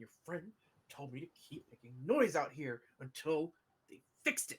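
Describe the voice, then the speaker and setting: A man puts on a character voice, quiet and fairly high in pitch, at a moderate pace. His intonation is lively, and his loudness swings widely. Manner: lowered, quiet voice.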